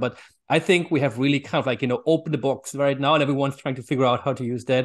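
A man speaks with a German accent. The background is quiet. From Germany. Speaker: author and AI consultant. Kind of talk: interview answers.

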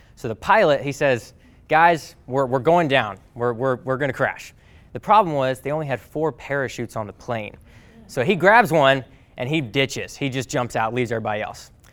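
A man talks at a moderate pace with lively intonation and medium pitch. He has a plain, everyday voice. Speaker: podcast host and speaker. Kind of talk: talk to a class, motivational message. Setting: live class, recorded with audience.

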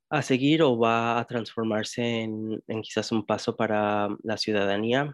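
A man with an English accent speaks at a fairly slow pace and a medium pitch, in a flat monotone. The background is quiet, and the sound is dry and close with no echo. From US Midwest, Indianapolis. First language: English (speaking Spanish). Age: 20s. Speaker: DACA recipient, political science graduate. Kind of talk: interview. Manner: halting, many fillers.

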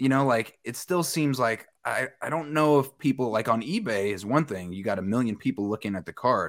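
On a very clean recording with a silent background, a man with an American accent uses a normal speaking voice at a medium pitch, a moderate pace and lively intonation. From Westchester County, New York. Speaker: news and sports anchor. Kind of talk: casual chat.

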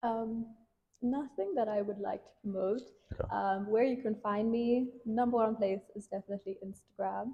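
Fairly even intonation in a somewhat breathy, fairly high-pitched woman's voice. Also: moderate pace. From South Africa. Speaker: tech entrepreneur. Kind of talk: interview.

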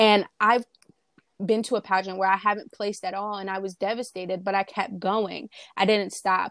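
A woman speaks at a fairly quick pace in a medium pitch with monotone, flat intonation, on a very clean recording with a silent background and a dry, close sound with no echo. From New Jersey. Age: young. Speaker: beauty pageant titleholder. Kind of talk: interview.

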